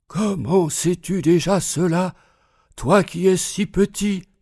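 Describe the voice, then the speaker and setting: A man's put-on character voice, high-pitched, raspy and breathy, at a fairly slow pace. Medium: read story.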